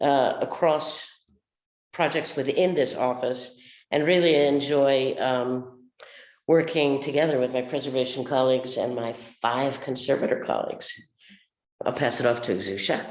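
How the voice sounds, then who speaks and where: Moderate pace broken by long, frequent pauses, with audible room echo. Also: woman, very deep, low pitch for a woman, fairly even intonation. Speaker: architectural conservator. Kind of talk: panel webinar.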